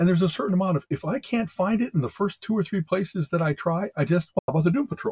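Very fast speech from a man, high-pitched, with ordinary pitch variation. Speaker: podcast co-host. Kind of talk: casual chat about TV and geek topics. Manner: fast talker.

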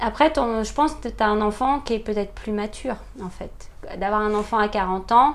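Speech unfolds at a moderate pace. Its pitch variation is ordinary. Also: woman, fairly high pitch for a woman. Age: 40s. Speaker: mother sharing experience of late parenthood. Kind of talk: interview testimony. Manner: hesitant, many fillers.

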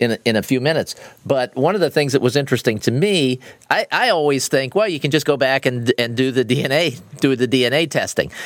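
With a plain, everyday voice, a man speaks at a fairly quick pace in a medium pitch with lively intonation. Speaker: podcast host. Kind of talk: interview, casual chat.

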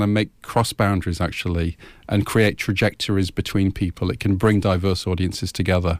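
A man with an English accent talks at a very fast pace and a fairly low pitch. The recording is very clean, with a silent background and a dry, close sound with no echo. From England, Irish family. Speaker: academic, associate professor. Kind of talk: radio interview. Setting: radio studio.

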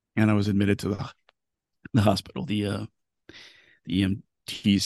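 In a dry, close sound with no echo, a man with an American accent speaks in a fairly low pitch with ordinary pitch variation. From US South, Tallahassee, Florida panhandle. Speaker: technology journalist. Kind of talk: interview testimony about depression. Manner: halting, frequent repetitions.

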